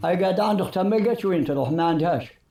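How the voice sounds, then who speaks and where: In an Algerian accent, a man speaks at a high pitch with lively intonation. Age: 80s+. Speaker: elderly resident interviewed. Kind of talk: street interview.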